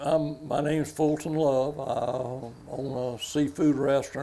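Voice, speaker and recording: In a coastal Georgia accent, a man speaks slowly-ish, at a fairly slow pace, with a fairly high pitch and monotone, flat intonation, amid audible room echo and noticeable background noise. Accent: Southern US, coastal Georgia. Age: 80s+. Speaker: commercial fisherman. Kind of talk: casual storytelling. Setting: stage with audience.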